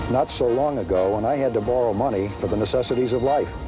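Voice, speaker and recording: A man talks at a medium pitch with ordinary pitch variation. Music plays in the background. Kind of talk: testimonial interview. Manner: hesitant.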